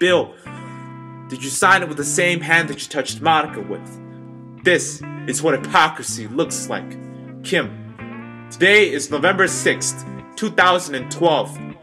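A man at a fairly slow pace, his loudness swinging widely, with clear music in the background. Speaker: spoken word poet. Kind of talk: spoken word poetry performance.

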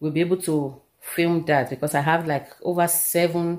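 Over a quiet background, a woman speaks at a moderate pace and a fairly low pitch in a plain, everyday voice. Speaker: vlogger. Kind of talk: casual vlog chat. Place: home room. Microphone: phone near.

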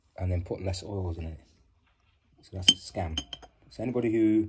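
An ordinary speaking voice: a man with a fairly low pitch talks at a fairly quick pace over light background noise. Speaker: home hair care demonstrator. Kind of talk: casual tutorial chat. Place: home room. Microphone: phone near.

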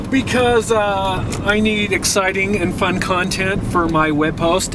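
The sound is dry with no echo as a man speaks with ordinary pitch variation over noticeable background noise. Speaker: radio host. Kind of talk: casual vlog chat. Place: car. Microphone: camera far.

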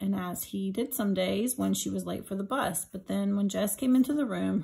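The recording features a natural reading voice. Nothing else is described.

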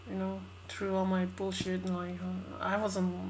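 With light noise in the background, a woman talks at a moderate pace. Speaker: vlogger. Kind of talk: casual talk to camera. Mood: stressed, venting. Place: home room. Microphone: webcam.

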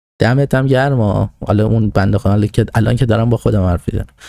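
Over a quiet background, a man with a dark, mellow tone talks at a very fast pace in a dry sound with no echo. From Iran. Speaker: political commentator; podcast host. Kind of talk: monologue talking to himself. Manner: halting. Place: home room. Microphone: studio mic.

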